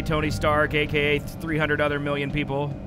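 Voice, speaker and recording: A man speaks at a moderate pace, the sound dry with no echo, while noticeable background noise runs underneath. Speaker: gamer streamer. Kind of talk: casual gameplay commentary. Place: home room. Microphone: studio mic.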